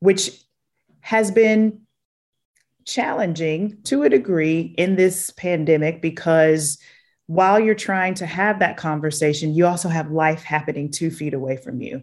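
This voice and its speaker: With a Southern US accent, a woman speaks at a fairly slow pace and a fairly low pitch, using ordinary pitch variation on a very clean recording with a silent background. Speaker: chief people officer. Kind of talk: interview conversation.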